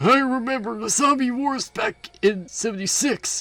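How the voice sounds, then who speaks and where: Over faint music in the background, a man does a put-on character voice at an extremely high pitch, speaking at a moderate pace with ordinary pitch variation. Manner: reminiscing, gruff.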